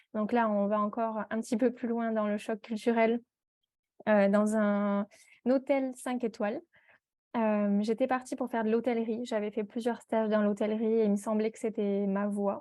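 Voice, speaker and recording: A woman with a fairly high pitch and a dark, mellow tone speaks in a monotone, flat way at a moderate pace. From southern France, Perpignan. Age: 20s. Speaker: entrepreneur, tea brand founder. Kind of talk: podcast interview. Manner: hesitant, many fillers.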